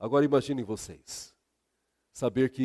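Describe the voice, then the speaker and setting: The sound is dry and close with no echo as a man with a medium pitch speaks in a dark, mellow tone. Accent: Minas Gerais. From Brazil, Minas Gerais. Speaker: pastor. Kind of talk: sermon.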